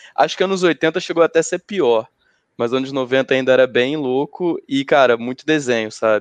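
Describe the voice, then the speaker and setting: In a dry, close recording with a quiet background, a man with an unremarkable speaking voice talks at a fairly slow pace, his medium pitch showing ordinary variation. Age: 30s. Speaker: podcast co-host. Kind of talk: casual chat.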